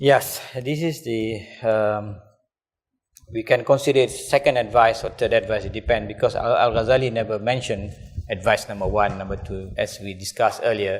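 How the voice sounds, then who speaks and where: A man speaks with a Kelantan accent at a moderate pace. The recording is very clean, with a silent background. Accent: Malay English, Kelantan. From Malaysia, Kelantan. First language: Malay. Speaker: religious teacher. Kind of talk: lecture.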